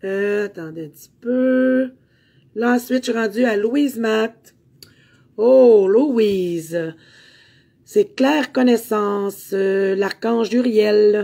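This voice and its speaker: A woman's fairly high, dark and mellow voice at a very slow pace, with ordinary pitch variation, big swings in loudness, and long, frequent pauses. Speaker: spiritual medium and meditation teacher. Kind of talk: card reading for live viewers. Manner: hesitant, many fillers.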